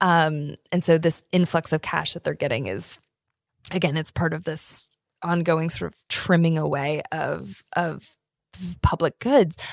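A woman with an American accent speaks at a very deep, low pitch, with vocal fry and ordinary pitch variation. The sound is dry and close with no echo, over a quiet background. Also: fairly slow pace. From Iowa, US Midwest. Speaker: professor. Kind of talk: interview conversation.

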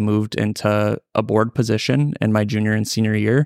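Recorded very cleanly against a silent background, a man with an Upper Midwest accent speaks fairly quickly in a fairly low pitch, the sound dry and close with no echo. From North Dakota, Ellendale area. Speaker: farmer and agricultural lender. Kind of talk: casual interview. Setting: conference hotel.

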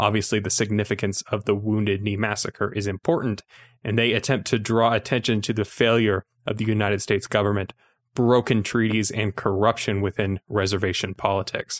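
A man with a Utah accent, fairly low in pitch and monotone, at a fairly quick pace, the sound dry and close with no echo on a very clean recording with a silent background. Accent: Utah American. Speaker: film podcast co-host, filmmaker. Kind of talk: casual chat.

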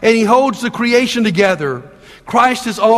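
The speaker is reading aloud in a natural voice. Pitch varies in an ordinary way.

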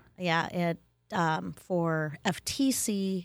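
On a very clean recording with a silent background, a woman with an Upper Midwestern accent speaks at a medium pitch. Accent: Upper Midwestern American. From Wisconsin. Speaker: school instructional coach. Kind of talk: interview.

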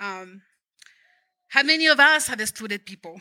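Raised and projected, a woman's high voice has a bright, sharp tone and lively intonation. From Mexico. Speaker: lay preacher. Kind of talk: sermon. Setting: church.

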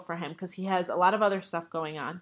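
A woman with an American accent speaks in an ordinary speaking voice at a moderate pace, with fairly even intonation on a very clean recording with a silent background. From New York. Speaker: podcast host, religious teacher. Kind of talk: religious teaching monologue.

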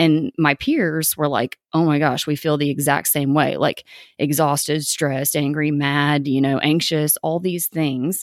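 With a Tennessee accent, a woman speaks in a very deep, low pitch with a monotone, flat intonation, very even loudness, and hardly any pauses, in a very clean recording with a silent background and a dry, close sound with no echo. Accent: Southern US (Tennessee). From East Tennessee, US South. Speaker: podcast host. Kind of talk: casual monologue. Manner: casual, filler-heavy (um, like).

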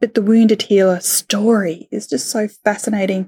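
A woman speaks in an Australian accent at a moderate pace. Her pitch is medium and her intonation fairly even. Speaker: podcaster. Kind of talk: casual interview chat.

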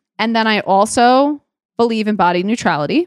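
This woman has a New York accent and a fairly high pitch, speaking at a fairly quick pace. The sound is dry and close, with no echo. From New York City (Queens). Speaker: dietitian and podcast host. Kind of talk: solo podcast monologue.

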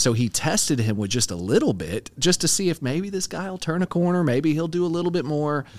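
A man with a plain, everyday voice and a fairly high pitch speaks in an American accent. His intonation is lively and his pace fairly quick, with hardly any pauses. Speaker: podcast co-host. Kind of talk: casual Bible discussion.

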